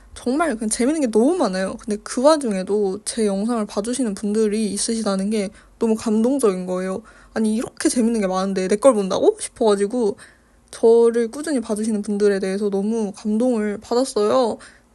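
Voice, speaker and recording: A woman mumbles at a fairly quick pace against a quiet background. Her fairly high voice has a dark, mellow tone and ordinary pitch variation. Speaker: art youtuber. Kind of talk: casual chat while painting. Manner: mumbled pronunciation.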